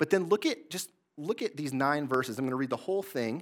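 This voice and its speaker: A man with an American accent talks at a fairly quick pace in a fairly high pitch, his intonation lively, on a very clean recording with a silent background. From Michigan, Greater Lansing area. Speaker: pastor. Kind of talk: sermon.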